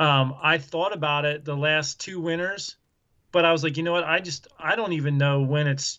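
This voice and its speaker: With an American accent, this is an unremarkable speaking voice with fairly even intonation at a moderate pace. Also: man. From Southeast Pennsylvania. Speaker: outdoors YouTuber. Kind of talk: casual chat. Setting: video call.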